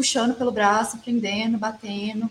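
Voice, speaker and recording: A woman speaks at a moderate pace in a fairly high, somewhat breathy voice with fairly even intonation. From Brazil, Belo Horizonte, Minas Gerais. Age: 20s. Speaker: filmmaker. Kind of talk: interview.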